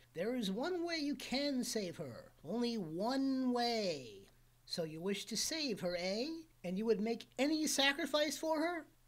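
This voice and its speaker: A woman puts on a high-pitched character voice and cackles. Her pace is fairly slow. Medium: read story. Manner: cackling, menacing.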